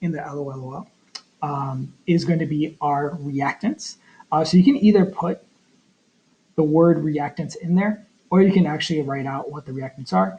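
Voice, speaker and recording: Pitch varies by a normal amount as the words come at a moderate pace. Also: man. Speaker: chemistry teacher. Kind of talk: tutorial. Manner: halting, many fillers.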